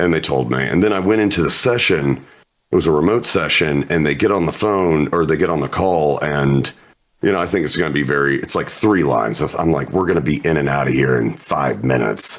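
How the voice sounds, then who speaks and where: A man speaks at a fairly quick pace in a very deep, low pitch. His intonation is lively while his loudness stays very even. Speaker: voice actor. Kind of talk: interview.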